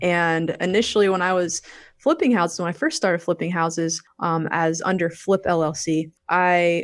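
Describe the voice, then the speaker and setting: In an ordinary speaking voice, a woman with an American accent talks at a fairly slow pace, fairly low in pitch with fairly even intonation, against a quiet background. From Virginia Beach, US. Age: 40s. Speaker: real estate investor.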